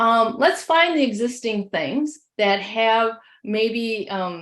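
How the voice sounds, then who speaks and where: With a Midwestern accent, a woman talks very slowly in a fairly high voice, her intonation lively. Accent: Midwest. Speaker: education technology leader. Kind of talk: webinar presentation. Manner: hesitant with many fillers.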